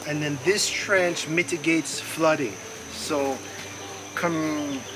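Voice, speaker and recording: A man with a fairly high voice speaks very slowly with fairly even intonation, over noticeable background noise and audible room echo. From Jamaica. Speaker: organic gardener. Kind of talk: tutorial; interview.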